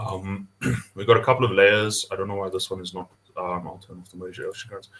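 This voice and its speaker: The delivery is very fast and monotone, with flat intonation and big swings in loudness. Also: man, fairly low pitch for a man. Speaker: GIS developer demonstrating mapping tool. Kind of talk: online tutorial demo. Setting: video call webinar. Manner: casual, hesitant with many fillers.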